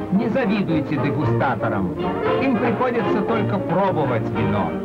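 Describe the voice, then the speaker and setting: Someone speaks at a moderate pace against loud background noise. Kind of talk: newsreel narration. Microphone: old recording.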